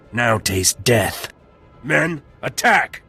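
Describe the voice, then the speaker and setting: A man puts on a character voice. It is raspy and medium in pitch. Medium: video game. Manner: military, clipped.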